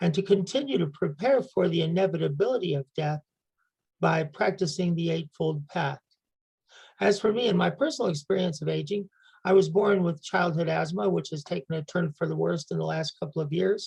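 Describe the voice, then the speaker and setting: Speaking at a fairly quick pace, a woman with an American accent has a dark, mellow tone, lively intonation and vocal fry. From United States. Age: 70s. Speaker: community member reader. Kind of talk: personal reflection talk.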